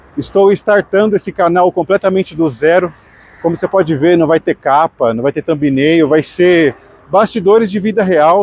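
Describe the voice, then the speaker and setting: At a moderate pace, a high-pitched man speaks with ordinary pitch variation, the sound dry and close with no echo but with noticeable background noise. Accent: Brazilian. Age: 30s. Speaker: radio announcer and vlogger. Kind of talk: personal vlog monologue. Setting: outdoors on the street. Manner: casual, with some false starts.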